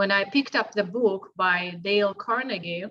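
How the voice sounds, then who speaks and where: At a fairly slow pace, a woman with a Russian accent uses a bright, sharp tone, medium pitch, and ordinary pitch variation. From Russia, Saint Petersburg. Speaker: health and fitness coach. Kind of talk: interview testimony.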